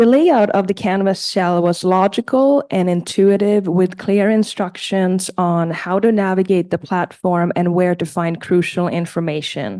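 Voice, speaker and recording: A woman with a non-native accent speaks at a medium pitch and a fairly slow pace, with hardly any pauses. Her tone is dark and mellow, and her pitch varies in an ordinary way. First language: not English. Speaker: community college student. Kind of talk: prepared testimonial read aloud. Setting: board meeting. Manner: halting, with self-corrections.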